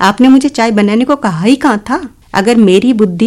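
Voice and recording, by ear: This person reads aloud in a natural voice, and the pitch moves in an ordinary way.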